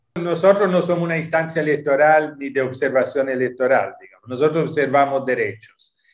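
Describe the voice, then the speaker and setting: A man at a fairly quick pace and fairly high pitch, with fairly even intonation, big swings in loudness, and hardly any pauses. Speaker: UN human rights official. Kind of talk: interview; interview answer. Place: home room. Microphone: video call.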